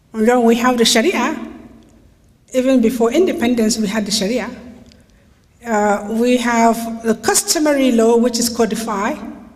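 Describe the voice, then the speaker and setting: Fairly high-pitched woman at a moderate pace, fairly even intonation, audible room echo. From Nigeria. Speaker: human rights lawyer. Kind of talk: lecture.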